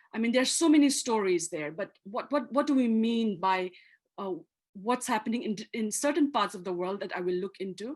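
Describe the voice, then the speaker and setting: Speaking with a Manipur accent, a woman uses a fairly high pitch, lively intonation and a fairly quick pace. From Manipur, Northeast India. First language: Manipuri. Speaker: activist and author. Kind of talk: lecture. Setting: video call.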